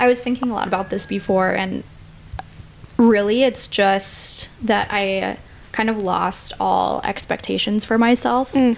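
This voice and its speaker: Speaking in an American accent, a woman with an ordinary speaking voice talks at a fairly slow pace, her fairly high pitch held in fairly even intonation. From Minnesota. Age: 20s. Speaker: physician assistant student. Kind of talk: podcast interview about grief.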